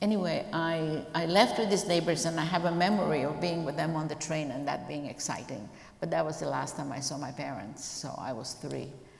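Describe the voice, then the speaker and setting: A woman with a very deep, low pitch speaks at a moderate pace with ordinary pitch variation. Audible room echo and noticeable background noise surround her. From Croatia (Zagreb, former Yugoslavia). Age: 70s. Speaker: Holocaust survivor. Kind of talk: testimony interview. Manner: halting, many fillers.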